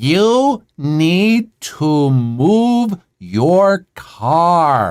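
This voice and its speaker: A loud, put-on character voice from a man, fairly high-pitched, with very wide pitch swings. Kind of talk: demanding. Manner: very slow and loud.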